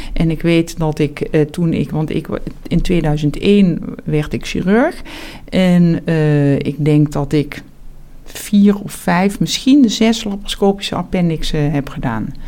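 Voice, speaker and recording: A woman talks very slowly in a fairly low pitch, her intonation lively. Noticeable background noise runs underneath. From Netherlands, South Limburg (Heerlen). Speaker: surgeon and professor. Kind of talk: interview. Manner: hesitant, many fillers and repetitions.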